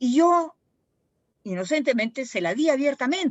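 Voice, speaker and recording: A woman at a fairly slow pace. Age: 70s. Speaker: speaker at heritage panel. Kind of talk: panel talk. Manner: halting.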